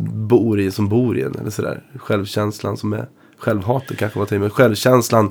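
In a normal speaking voice with ordinary pitch variation, this man keeps a moderate pace and a fairly low pitch. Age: 20s. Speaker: blues guitarist. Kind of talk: casual chat.

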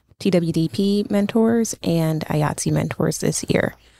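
With an American accent, a woman speaks at a fairly low pitch in a dark, mellow tone. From Brooklyn, New York. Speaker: theater education manager. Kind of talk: interview.

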